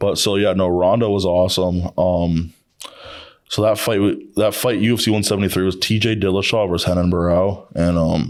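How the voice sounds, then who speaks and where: This man talks at a moderate pace with a very deep, low pitch and very even loudness. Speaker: aspiring professional athlete. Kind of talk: casual chat. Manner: animated.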